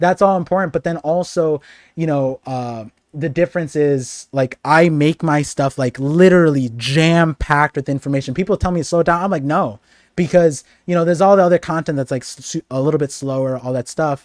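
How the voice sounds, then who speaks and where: Recorded very cleanly against a silent background, with a dry, close sound and no echo, a man with a normal speaking voice talks at a fairly quick pace, his pitch fairly high and its variation ordinary. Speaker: streamer and anime content creator. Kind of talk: casual chat. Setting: live stream.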